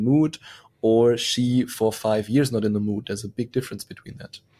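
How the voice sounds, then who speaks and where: A man speaks at a fairly quick pace in a German accent. His medium pitch carries a dark, mellow tone and fairly even intonation. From Germany. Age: young. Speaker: sex coach. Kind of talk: podcast interview. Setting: video call.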